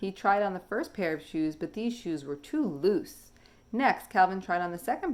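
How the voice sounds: Lively intonation in a natural reading voice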